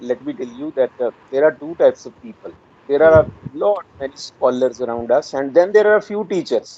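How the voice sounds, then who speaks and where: Someone speaks at a fairly quick pace with a Punjabi accent. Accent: Indian Punjabi English. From rural Punjab, India. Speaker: retired English professor. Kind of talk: interview. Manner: hesitant, many fillers.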